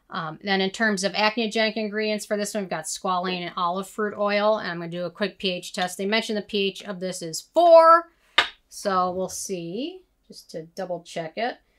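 Against noticeable background noise, a woman talks at a moderate pace with ordinary pitch variation and big swings in loudness. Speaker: skincare reviewer. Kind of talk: product review commentary. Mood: calm, matter-of-fact. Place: home room.

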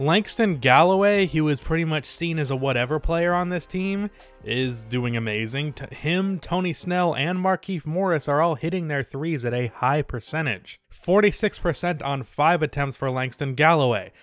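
Moderate pace with hardly any pauses, a dry sound with no echo, and music in the background. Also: man. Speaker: sports video narrator. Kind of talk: commentary.

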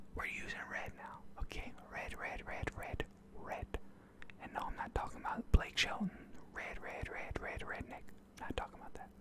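A soft-spoken man whispers at a moderate pace with long, frequent pauses, the sound dry with no echo beneath loud background noise. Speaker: ASMR creator. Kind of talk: soft-spoken ASMR roleplay. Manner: soft close-mic ASMR whisper. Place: home room. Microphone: studio mic.

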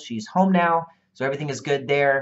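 Male speaker, moderate pace. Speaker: online marketing coach. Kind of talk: casual vlog chat. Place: office.

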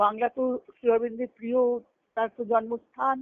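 A woman speaks at a moderate pace with a fairly high pitch and little pitch movement, the sound dry and close with no echo.

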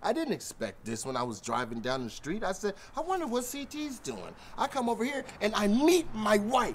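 A man talks at a fairly quick pace. There is light background noise. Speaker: comedic skit actor. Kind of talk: comedic acted banter. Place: street.

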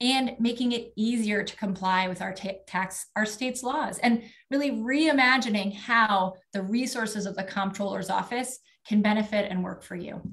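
A woman's fairly high voice at a moderate pace, with ordinary pitch variation. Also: quiet background. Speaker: politician, state legislator running for office; politician. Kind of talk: campaign speech. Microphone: video call.

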